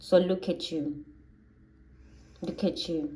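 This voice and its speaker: A woman with a Zulu accent speaks fairly slowly, her fairly low voice dark and mellow in tone. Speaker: tarot reader. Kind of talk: tarot reading monologue.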